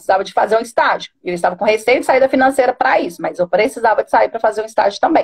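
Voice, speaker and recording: A woman at a very fast pace, with ordinary pitch variation, in a dry, close sound with no echo. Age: 30s. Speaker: coaching client, bank business agent. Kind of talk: personal testimony in a live stream. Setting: online live stream. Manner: hesitant, many fillers.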